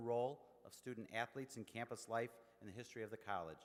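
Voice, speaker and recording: A medium-pitched man with an American accent at a very fast pace. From Naperville, Illinois. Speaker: college administrator, master of ceremonies. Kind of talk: ceremony speech. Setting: stage with audience. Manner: hesitant, many fillers.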